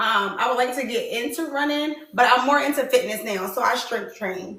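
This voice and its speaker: A raised, projected voice with an animated tone and lively intonation rings out amid audible room echo. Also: woman. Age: 30s. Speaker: dating show host. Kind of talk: casual chat.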